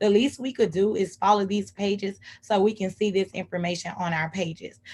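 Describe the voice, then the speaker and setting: Somewhat breathy, a woman talks at a medium pitch and fairly quick pace with fairly even intonation. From Texas, Houston. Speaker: civic engagement advocate. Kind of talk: presentation. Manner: fast.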